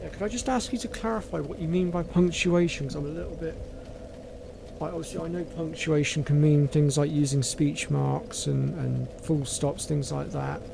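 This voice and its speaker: The speaker keeps a moderate pace. Noticeable background noise and audible room echo fill the recording. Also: man. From southwest England, North Devon. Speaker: gaming streamer. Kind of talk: casual chat. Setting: live stream.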